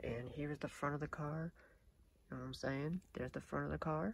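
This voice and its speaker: A man's voice, dry and free of echo. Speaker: vlogger. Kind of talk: casual vlog chat. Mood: grateful, excited. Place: car. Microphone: phone near.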